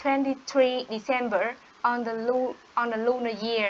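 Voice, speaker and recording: Fairly even intonation marks this speech in a Vietnamese accent. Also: woman. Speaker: English learner. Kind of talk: language practice conversation. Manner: halting. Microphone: distorted, squeaky audio.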